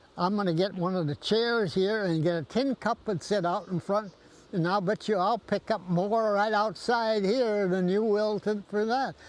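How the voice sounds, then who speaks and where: A man speaks at a high pitch and a moderate pace. His loudness stays very even, with hardly any pauses. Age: 80s+. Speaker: war veteran. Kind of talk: interview answer.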